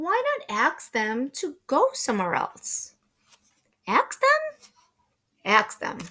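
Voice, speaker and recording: In a put-on character voice, a woman speaks at a high pitch. Her pace is very slow, broken by long, frequent pauses. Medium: read story. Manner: calm, plain.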